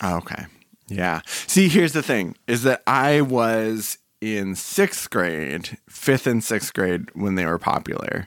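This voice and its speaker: A man with an American accent speaks at a very slow pace in a fairly low voice. His pitch swings very widely. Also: dry, close sound with no echo. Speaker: podcast co-host. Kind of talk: casual chat. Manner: mumbling.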